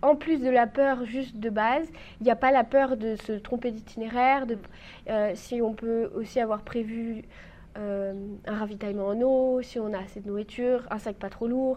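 A woman speaks in a fairly high voice at a moderate pace, her intonation fairly even. It is a plain, everyday voice. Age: 20s. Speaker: trainee mountain guide, youtuber and writer. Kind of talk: casual interview.

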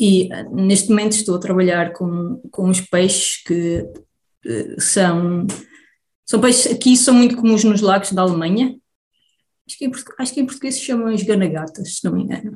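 The voice is somewhat breathy, with ordinary pitch variation. It moves at a moderate pace with big swings in loudness. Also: woman, medium pitch for a woman. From Portugal, Beira Baixa. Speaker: immunologist researcher. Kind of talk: interview. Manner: halting.

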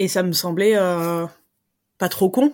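Recorded very cleanly against a silent background, a woman talks at a fairly low pitch with ordinary pitch variation. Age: 30s. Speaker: interviewee sharing personal fertility story. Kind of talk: testimony. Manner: hesitant, many fillers.

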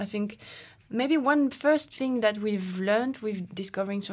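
A woman speaks with a French accent. Her pace is moderate and her pitch variation ordinary. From France. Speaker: professional climber. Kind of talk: casual interview chat.

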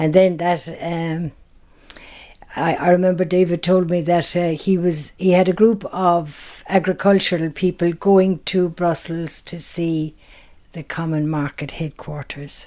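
In a very clean recording with a silent background, a woman with a Kerry accent speaks at a fairly slow pace in a fairly low, dark, mellow tone, her intonation monotone and flat. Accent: Kerry Irish. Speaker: tour business co-owner. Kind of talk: interview. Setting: at home.

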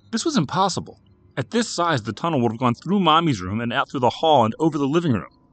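A man's voice with vocal fry and an American accent, swinging very widely in pitch. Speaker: horror fiction narrator. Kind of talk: horror audiobook narration, scripted story read aloud with character voices for dialogue. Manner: measured, suspenseful, hushed and eerie storytelling.

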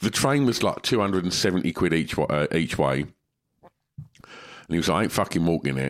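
Fairly quick, lively speech in an English accent, touched with vocal fry, on a very clean recording with a silent background. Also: man, very deep, low pitch for a man. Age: 50s. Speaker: podcast co-host. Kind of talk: casual chat.

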